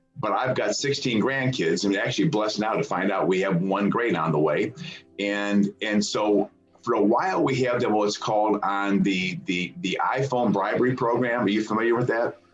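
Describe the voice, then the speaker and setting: Music plays in the background as a man with an American accent talks at a moderate pace. His fairly low voice has ordinary pitch variation and very even loudness. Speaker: program founder. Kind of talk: interview. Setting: podcast. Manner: halting.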